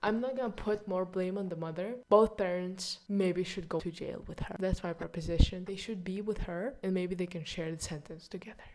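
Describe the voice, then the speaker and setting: Someone with a non-native accent speaks at a fairly quick pace with hardly any pauses and fairly even intonation over noticeable background noise. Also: woman, medium pitch for a woman. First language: not English. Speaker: video blogger reviewing books and films. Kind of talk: casual monthly review monologue.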